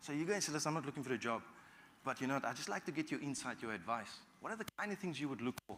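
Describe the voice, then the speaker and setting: A man with a fairly high pitch talks at a very fast pace with lively intonation. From South Africa, Cape Town. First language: Afrikaans. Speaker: business executive and guest speaker. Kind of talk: guest talk to university students.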